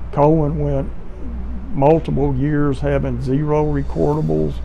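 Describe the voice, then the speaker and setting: A man speaking at a very slow pace over light background noise. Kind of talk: interview answer. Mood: proud, reflective. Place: office.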